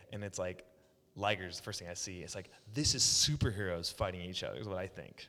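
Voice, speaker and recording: Very fast and bright, sharp in tone, a man with an American accent and a very deep, low pitch speaks with ordinary pitch variation. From Oklahoma. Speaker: pro wrestler. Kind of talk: casual chat. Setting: echoey office room.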